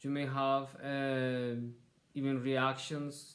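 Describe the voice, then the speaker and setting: A man with a strong non-native accent amid audible room echo. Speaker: university lecturer. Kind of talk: lecture. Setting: recorded online lecture. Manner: halting, with repetitions.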